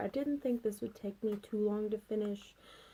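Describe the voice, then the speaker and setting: Soft-spoken, a woman talks in a dark, mellow tone. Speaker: beauty vlogger. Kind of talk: casual vlog chat. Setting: at home late at night. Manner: soft-spoken, talking quietly.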